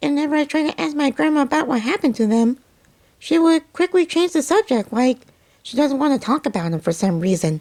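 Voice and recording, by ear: A man speaks in a put-on character voice at extremely high pitch. He talks at a very fast pace.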